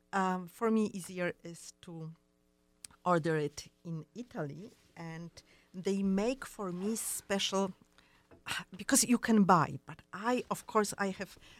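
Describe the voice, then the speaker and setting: Very slowly and with long, frequent pauses, a woman with a Polish accent speaks at medium pitch, her pitch varying in an ordinary way while her loudness swings widely. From Poland. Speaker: fashion designer. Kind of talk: interview. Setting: studio. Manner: halting.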